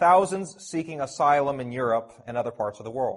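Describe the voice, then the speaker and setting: A man with a Canadian accent has an ordinary speaking voice. He talks at a fairly quick pace with lively intonation. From Canada, Toronto. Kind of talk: conference talk. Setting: conference audience.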